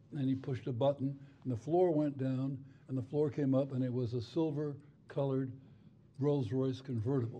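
With audible room echo, a man with a dark, mellow tone and medium pitch speaks at a moderate pace, somewhat breathy, with fairly even intonation. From Spain and Cuba. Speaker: retired federal judge. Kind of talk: onstage interview. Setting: stage with audience.

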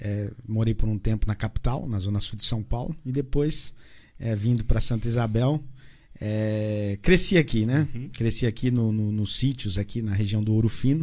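This man talks at a moderate speed and a medium pitch. His pitch varies by an ordinary amount. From Paraná, Brazil. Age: 40s. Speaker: evangelical churchgoer, former ministry member. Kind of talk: testimony. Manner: halting, repeats words.

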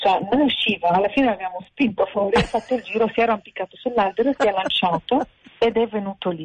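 Someone speaks at a very fast pace with an Arabic accent and ordinary pitch variation. Noticeable background noise runs underneath. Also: woman, fairly high pitch for a woman. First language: Arabic (speaking Italian). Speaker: animal sanctuary founder. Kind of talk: interview. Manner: halting. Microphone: noisy line.

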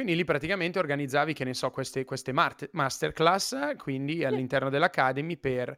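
A man with a fairly high pitch, an enthusiastic tone and a bright, sharp sound, dry and close with no echo, on a very clean recording with a silent background. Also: ordinary pitch variation, moderate pace. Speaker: podcast host. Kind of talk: casual interview chat.

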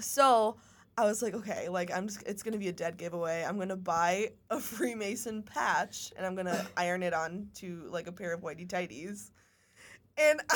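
This woman has a normal speaking voice, medium in pitch, with ordinary pitch variation and a moderate pace. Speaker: podcast co-host. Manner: casual, chatty.

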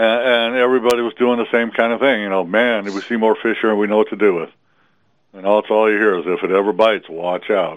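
At a very fast pace, a man talks with fairly low pitch and fairly even intonation. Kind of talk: casual phone interview about fishing. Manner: relaxed, plain-spoken, hesitant.

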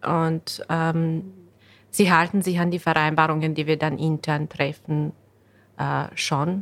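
A woman with a Bosnian accent talks at a very deep, low pitch and a very slow pace, leaving long, frequent pauses. Her intonation is monotone and flat, on a very clean recording with a silent background. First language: Bosnian (speaking German). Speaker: real estate lawyer. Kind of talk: podcast interview.

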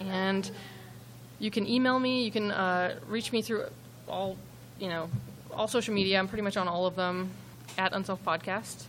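A woman with a medium pitch and ordinary pitch variation speaks at a moderate pace. She leaves long, frequent pauses. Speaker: podcast host, former police officer, crime analyst. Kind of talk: live true-crime storytelling. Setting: stage with audience.

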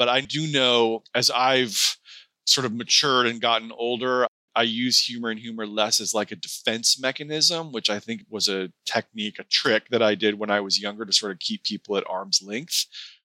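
In an American accent, a man has an unremarkable speaking voice at medium pitch with ordinary pitch variation and a moderate pace. The sound is dry and close with no echo. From US Pacific Northwest, Seattle area. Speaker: author, former hospice chaplain. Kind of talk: casual interview. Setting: remote interview from home.

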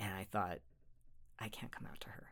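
A man is whispering. He has an American accent. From Utah. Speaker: therapist. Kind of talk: interview. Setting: studio.

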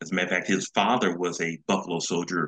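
Dry and close with no echo, the clip has a man with an American accent whose very deep, low pitch carries a bright, sharp tone. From Los Angeles, California. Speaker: retired design engineer and author's son. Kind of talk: interview.

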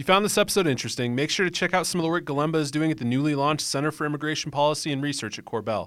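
Ordinary pitch variation from a man in a very clean recording with a silent background. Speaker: radio host. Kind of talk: scripted narration with interview chat. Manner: formal broadcast voice, then relaxed.

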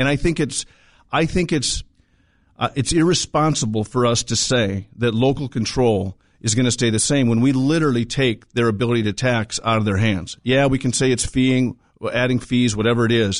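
In a normal speaking voice, a man talks at medium pitch and a moderate pace with ordinary pitch variation. His loudness stays very even, and the background is quiet. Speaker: bank vice president. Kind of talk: business interview.

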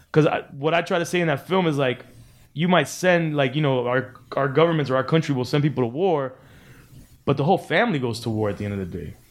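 Speaking at a very fast pace with an American accent, a man uses lively intonation at a fairly high pitch. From Miami (Cuban American, early childhood in LA). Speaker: DJ and podcast host. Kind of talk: casual interview chat. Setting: studio.

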